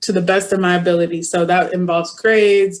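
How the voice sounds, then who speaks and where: A woman with an American accent talks at a moderate pace with fairly even intonation. She has a plain, everyday voice. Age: 20s. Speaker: university student. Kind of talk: testimony.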